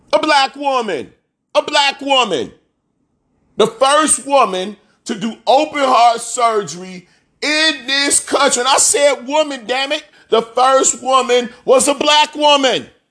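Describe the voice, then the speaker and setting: This man talks in a raised, projected voice with an animated, bright and sharp tone. His pitch is extremely high, with ordinary variation, and his pace is fairly slow. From US Midwest, south side of Chicago. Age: 40s. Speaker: podcast host, former athlete. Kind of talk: motivational monologue. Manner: animated, repetitive emphatic delivery.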